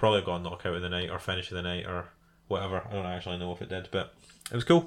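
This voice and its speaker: Speaking at a very fast pace, this man keeps a fairly even intonation. His delivery stays quick throughout. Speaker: MMA podcast host. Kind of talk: casual solo commentary. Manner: fast with many fillers; halting, self-interrupting.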